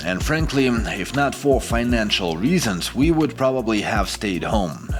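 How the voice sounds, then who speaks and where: A man's fairly low voice with a Ukrainian accent, very wide pitch swings, and a fairly slow pace, with music in the background. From Ukraine. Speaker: expat vlogger. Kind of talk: scripted narration.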